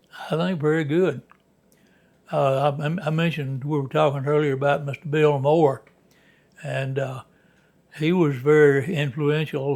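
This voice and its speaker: Monotone, flat speech in a Southern US accent at a moderate pace, broken by long, frequent pauses. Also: man. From Alabama. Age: 90s. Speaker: former minor league baseball player. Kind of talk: interview. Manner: halting.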